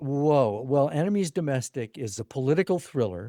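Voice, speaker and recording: The recording is very clean and silent in the background, with a dry, close sound and no echo, as a man with a dark, mellow tone speaks at a medium pitch and a moderate pace. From La Crosse, Wisconsin. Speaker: author and writing coach. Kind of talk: interview.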